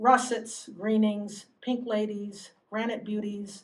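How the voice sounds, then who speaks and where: Somewhat breathy, a woman speaks at medium pitch and a fairly slow pace. Her intonation is monotone and flat. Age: 60s. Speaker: poet. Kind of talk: poetry reading.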